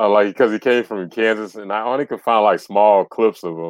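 Against a quiet background, a man with an American accent uses an unremarkable speaking voice, talking at a fairly quick pace with ordinary pitch variation. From US South. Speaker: sports podcaster. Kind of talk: casual chat.

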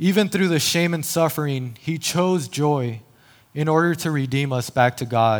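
An unremarkable speaking voice from a man with an American accent, fairly high in pitch, with ordinary pitch variation and a moderate pace. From El Paso, Texas. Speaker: lay preacher, campus minister. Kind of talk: sermon. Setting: church stage.

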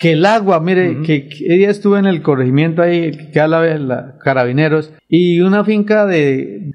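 This man's voice sits at a high pitch. Its pitch varies in an ordinary way. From Colombia, Santander (Vélez province). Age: 40s. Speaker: local council candidate and businessman. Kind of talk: radio interview. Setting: radio studio. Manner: halting, with frequent repetitions.

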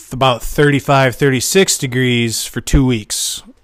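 Fairly slow and monotone, a man speaks with flat intonation. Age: 30s. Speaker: podcast host, homebrewer. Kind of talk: casual monologue. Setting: garage. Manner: casual, profane.

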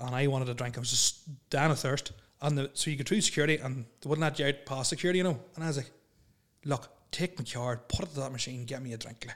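Very fast speech from a man with a fairly high pitch and a Northern Irish accent. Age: 30s. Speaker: podcast host. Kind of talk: casual chat.

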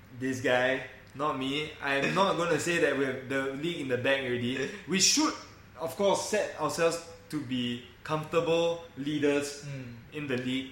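Noticeable background noise and audible room echo, with ordinary pitch variation at a moderate pace. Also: man, fairly high pitch for a man. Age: 30s. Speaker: football fan podcast host. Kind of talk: casual chat.

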